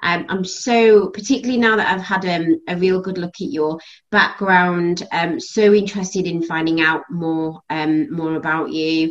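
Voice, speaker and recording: A woman speaks with a British accent at a fairly slow pace, with hardly any pauses. Her pitch is medium, with ordinary variation. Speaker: podcast host. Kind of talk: interview conversation.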